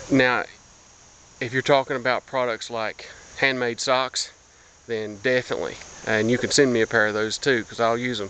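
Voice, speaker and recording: Fairly even intonation from a man with an American accent. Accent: hillbilly. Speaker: blogger. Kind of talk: casual vlog monologue. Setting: outdoors, walking through woods. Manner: halting, many fillers and repeats.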